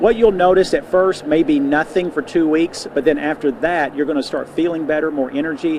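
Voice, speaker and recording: Fairly quick pace and ordinary pitch variation, over noticeable background noise. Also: man. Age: 60s. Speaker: nutrition store owner. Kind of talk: TV interview.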